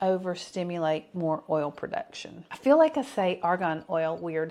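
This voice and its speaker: A woman with a Southern US accent against a quiet background. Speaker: skincare vlogger. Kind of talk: tutorial.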